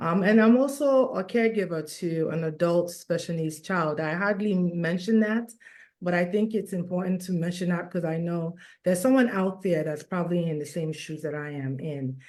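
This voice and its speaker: A woman with a normal speaking voice talks at a moderate pace, her fairly low pitch showing ordinary variation. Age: 50s. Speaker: nurse and wellness coach. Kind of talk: testimony.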